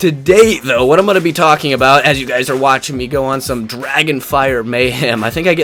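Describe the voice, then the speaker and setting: A man with a fairly high pitch talks at a fairly quick pace, with ordinary pitch variation. Music sits in the background. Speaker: gaming YouTuber. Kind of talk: gameplay commentary vlog. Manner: casual, frequent fillers.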